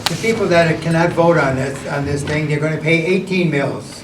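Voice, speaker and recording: At a moderate pace and with fairly even intonation, the voice carries audible room echo over noticeable background noise. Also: man. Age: 80s+. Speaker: resident making public comment. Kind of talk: public comment at a board meeting.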